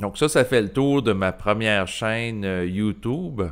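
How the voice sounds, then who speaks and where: The speaker talks at a very slow pace with a Quebec accent. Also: man. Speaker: YouTuber. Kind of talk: solo video monologue, improvised. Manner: hesitant, many filler sounds.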